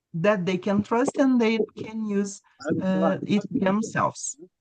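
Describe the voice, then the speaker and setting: Words come at a fairly slow pace with a Brazilian Portuguese accent. The sound is dry and close, with no echo. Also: woman. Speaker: English teacher. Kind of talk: webinar presentation.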